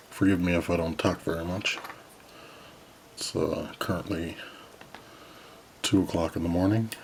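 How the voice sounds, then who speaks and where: Speaking at a moderate pace with long, frequent pauses, a man with a very deep, low pitch keeps a monotone, flat intonation over noticeable background noise. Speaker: model kit builder. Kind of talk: tutorial. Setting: home at night. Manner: soft-spoken.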